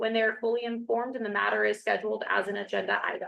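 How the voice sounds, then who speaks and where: A woman talks very fast. Her voice is loud. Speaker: board chair. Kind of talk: public meeting. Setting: meeting hall with Zoom. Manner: formal.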